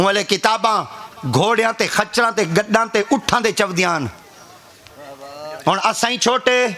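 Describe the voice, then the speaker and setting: A raised, projected voice with ordinary pitch variation comes through noticeable background noise. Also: man. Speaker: religious preacher (peer). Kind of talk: humorous religious sermon (bayan) to an audience. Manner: humorous, storytelling.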